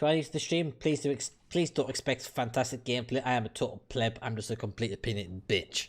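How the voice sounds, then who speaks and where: With hardly any pauses, a man speaks very fast at a medium pitch, sounding somewhat breathy. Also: ordinary pitch variation. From United Kingdom. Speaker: gaming streamer. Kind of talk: casual chat. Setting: live stream. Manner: animated.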